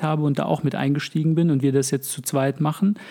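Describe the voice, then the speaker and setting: Monotone, flat intonation marks this man's voice, which has a fairly high pitch and a dark, mellow tone. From Germany (moved from Russia aged five). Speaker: podcast co-host. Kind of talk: casual chat.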